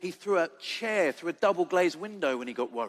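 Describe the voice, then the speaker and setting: Lively intonation marks this man's high-pitched speech in an English accent. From England. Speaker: charity leader and foster carer. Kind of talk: conference talk.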